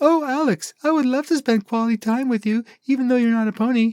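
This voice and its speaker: A man's put-on character voice at extremely high pitch, fairly quick in pace, with very even loudness and a dry, close sound with no echo. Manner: sweet, exaggerated, mocking.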